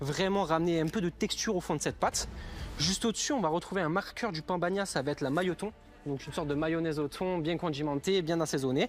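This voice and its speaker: Speaking very fast at a high pitch, a man with a slight southern French accent shows ordinary pitch variation. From southern France, Luberon. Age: young. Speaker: cooking competition contestant. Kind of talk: reality TV interview and kitchen talk.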